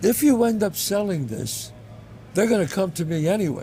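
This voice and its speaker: A man talks in a New York accent at a moderate pace. His pitch swings very widely. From the Bronx, New York. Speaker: actor and writer. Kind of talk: interview answer.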